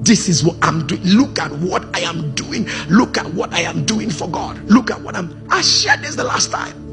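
Clear music plays in the background as a man talks. He keeps a moderate pace with hardly any pauses. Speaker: preacher. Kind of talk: sermon. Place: church. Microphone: handheld.

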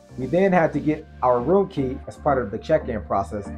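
A man speaks at a moderate pace with clear music in the background. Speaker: travel vlogger. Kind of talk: travel vlog narration. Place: home room.

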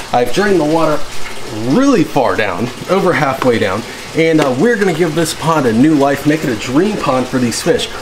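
At a moderate pace, a man speaks with noticeable background noise present. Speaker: fish hobby vlogger. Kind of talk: casual vlog chat. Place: garage. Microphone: phone near.

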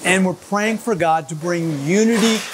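A man's high voice in an upbeat, energetic tone, at a moderate pace with ordinary pitch variation, over noticeable background noise. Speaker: church pastor leading prayer. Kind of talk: fervent prayer led for a church. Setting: construction site during demolition, filmed video. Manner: earnest, impassioned, rhythmic invocation of 'Lord' and 'God'; upbeat, energetic in the opening demo intro. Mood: earnest, fervent. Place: hall.

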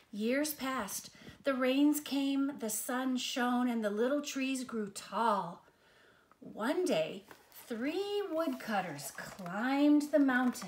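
A woman's high-pitched voice with lively intonation, at a very slow pace, amid audible room echo.

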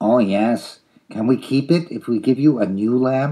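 At a moderate pace and medium pitch, a man puts on a character voice. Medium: read story. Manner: cheerful, silly.

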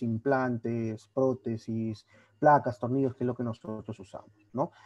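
With a quiet background, a man speaks in a dark, mellow tone at a moderate pace. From Peru, Trujillo; Peru. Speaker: orthopedic surgery resident doctor. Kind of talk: lecture. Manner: casual, conversational. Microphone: video call.

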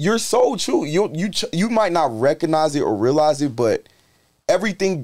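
Very wide pitch swings from a male speaker, with a quiet background. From Charlotte, North Carolina; North Carolina. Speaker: rapper; guest. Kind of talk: casual chat. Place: studio. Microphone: studio mic.

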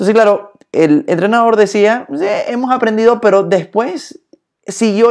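The background is quiet. The tone is animated. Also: man. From born in Germany, speaks from Latin America. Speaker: leadership speaker. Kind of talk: live stream talk on leadership. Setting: Instagram live stream. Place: home room. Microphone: phone near.

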